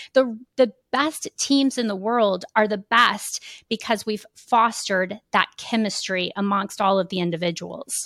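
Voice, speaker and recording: A woman with an American accent has an unremarkable speaking voice, fairly high in pitch with ordinary pitch variation. She talks at a fairly slow pace with hardly any pauses, in a dry, close sound with no echo. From Kansas City, Missouri. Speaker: keynote speaker and consultant. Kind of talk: podcast interview.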